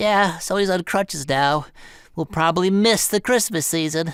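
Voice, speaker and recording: A put-on character voice at middle pitch moves at a moderate pace in a very clean recording with a silent background. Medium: comedy sketch. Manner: rambling, chuckling.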